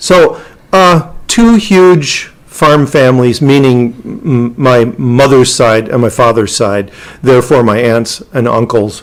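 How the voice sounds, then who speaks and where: Very slow speech in an Upper Midwest accent, with very even loudness and ordinary pitch variation. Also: man, medium pitch for a man. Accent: Upper Midwest American. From rural Minnesota. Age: 60s. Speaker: interview guest. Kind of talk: casual interview. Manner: halting, many fillers.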